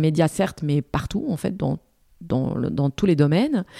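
In a very clean recording with a silent background and a dry, close sound without echo, a woman talks at a fairly quick pace with lively intonation and a dark, mellow tone. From Morocco. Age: 40s. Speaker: TV news presenter and editor. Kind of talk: interview.

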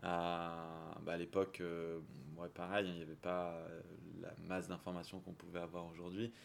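A man talks at a fairly slow pace in a very deep, low voice. His intonation stays monotone and flat. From southern France. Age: 30s. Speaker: watch magazine founder. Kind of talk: interview. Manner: hesitant, many fillers.

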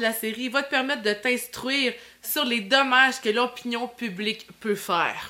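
Speaking with a Quebec accent, a woman uses a fairly high pitch, ordinary pitch variation and a fairly slow pace. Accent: Québécois French. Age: 30s. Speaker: podcast host. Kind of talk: casual interview; scripted monologue intro.

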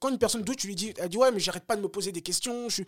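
The sound is dry and close, with no echo. A man speaks at a high pitch with lively intonation. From Paris suburbs, France (Bagneux). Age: 30s. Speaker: former pro boxer and coach. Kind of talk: casual interview. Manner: hesitant with many fillers and repetitions.

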